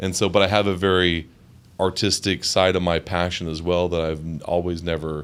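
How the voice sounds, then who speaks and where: Speaking in a monotone with flat intonation, a man with an American accent has a very deep, low pitch and a moderate pace. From Wyoming, USA. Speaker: Navy veteran, actor. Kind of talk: interview answer.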